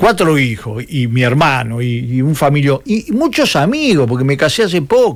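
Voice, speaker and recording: Speaking with a Uruguayan accent, a man with a fairly high pitch moves at a moderate pace with very wide pitch swings and hardly any pauses. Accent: Rioplatense Spanish (Uruguayan). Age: 70s. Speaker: political commentator, former communist activist. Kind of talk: interview. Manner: animated.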